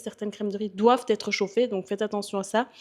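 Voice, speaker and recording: A woman speaks at a medium pitch with a Belgian accent. Her intonation is monotone and flat, and the background is quiet. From Belgium. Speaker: bodybuilder and fitness coach. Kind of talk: casual vlog Q&A. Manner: hesitant, many fillers.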